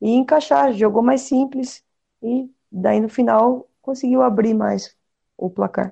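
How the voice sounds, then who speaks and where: Her voice fairly high, a woman speaks with a Brazilian accent. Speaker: women's flag football player. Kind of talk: casual sports chat.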